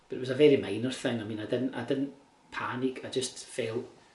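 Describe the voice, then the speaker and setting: Fairly quick, flat, monotone delivery in a Glasgow accent, with audible room echo and noticeable background noise. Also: man. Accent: Scottish (Glasgow). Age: 60s. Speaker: cancer patient keeping a video diary. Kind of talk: personal video diary. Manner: halting, with repetitions.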